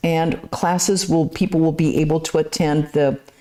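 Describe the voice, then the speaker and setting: A woman speaks in a plain, everyday voice at a moderate pace. Her pitch sits fairly low. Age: 60s. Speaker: nun and lecturer. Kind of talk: lecture Q&A and announcements. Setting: temple.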